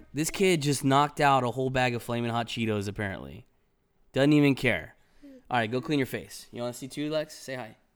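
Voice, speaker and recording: On a very clean recording with a silent background, a man with an American accent talks fairly quickly at a medium pitch with ordinary pitch variation. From US West Coast, Los Angeles County. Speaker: podcast host. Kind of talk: casual monologue. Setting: live stream recording.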